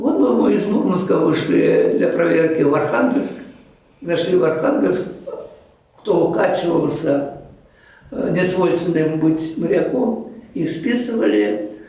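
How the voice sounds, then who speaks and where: A man speaks at a high pitch and a very slow pace, with long, frequent pauses, very wide pitch swings and very even loudness. Noticeable background noise and audible room echo are present. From Chuvashia, Russia. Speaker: marine geologist, professor. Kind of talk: interview reminiscence. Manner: halting, with frequent fillers.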